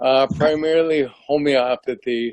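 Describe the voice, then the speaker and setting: A man's fairly high-pitched voice with fairly even intonation, in a dry, close sound with no echo. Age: 60s. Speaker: ALS patient, retired teacher and coach. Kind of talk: testimony on video call. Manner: halting, many fillers.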